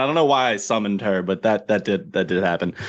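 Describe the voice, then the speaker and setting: A man talks with a New Jersey accent and lively intonation. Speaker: livestream host. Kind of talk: casual livestream chat. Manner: animated.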